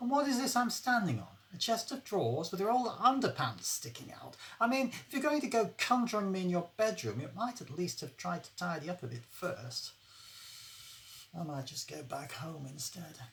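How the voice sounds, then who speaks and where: At a moderate pace, a woman speaks with a fairly low pitch, vocal fry, very wide pitch swings and big swings in loudness. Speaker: author. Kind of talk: short story reading.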